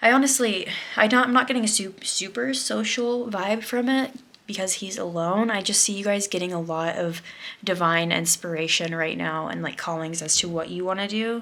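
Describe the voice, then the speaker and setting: Amid noticeable background noise and audible room echo, a woman speaks at a medium pitch with lively intonation. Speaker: tarot card reader. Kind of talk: pick-a-card tarot reading. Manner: fast; casual, many filler words.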